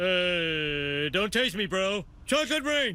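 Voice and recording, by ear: A man speaks in a cartoonish character voice with a high pitch. His pace is very slow.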